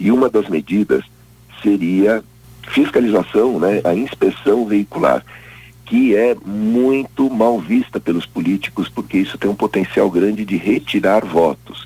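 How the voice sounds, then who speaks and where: With music in the background, a man talks at a fairly slow pace. His pitch is fairly low and his loudness very even. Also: ordinary pitch variation. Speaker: environmental science professor. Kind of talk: interview.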